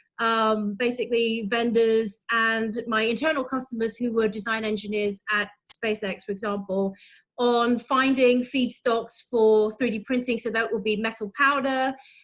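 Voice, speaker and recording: With a British accent, a woman speaks at a fairly high pitch in monotone, flat intonation. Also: moderate pace. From UK. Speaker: materials engineer. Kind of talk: casual interview. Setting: video call.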